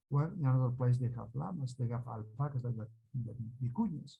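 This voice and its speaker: A man talks at a moderate pace with medium pitch and ordinary pitch variation. His tone is dark and mellow, and somewhat breathy. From Peru, Andes (Colcha, Cusco). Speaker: Andean healer. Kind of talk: interview. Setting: video call. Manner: halting, many fillers.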